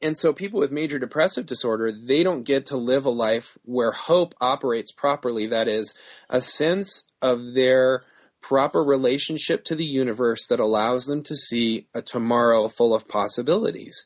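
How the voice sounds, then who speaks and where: With ordinary pitch variation, a man speaks in a normal speaking voice, his pitch medium and his pace moderate. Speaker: author. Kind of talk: interview.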